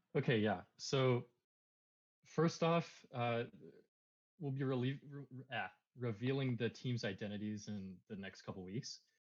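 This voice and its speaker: Speaking in an American accent, a man uses a medium pitch with ordinary pitch variation and big swings in loudness. He talks at a fairly slow pace, with long, frequent pauses. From United States. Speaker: crypto project co-founder. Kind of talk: AMA Q&A. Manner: halting, many fillers.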